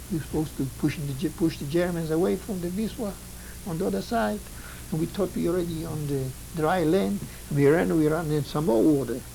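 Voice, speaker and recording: A man's lively intonation comes across with noticeable background noise behind it. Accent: Polish. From Poland. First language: Polish. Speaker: Holocaust survivor. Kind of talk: testimony. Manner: halting.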